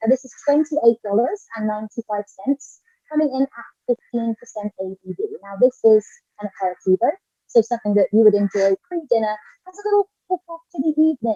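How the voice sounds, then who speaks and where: A woman with a British accent speaks at a fairly quick pace and fairly high pitch, her lively intonation paired with big swings in loudness in a dry, close sound with no echo. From Britain. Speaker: drinks influencer. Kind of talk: live product showcase. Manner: animated.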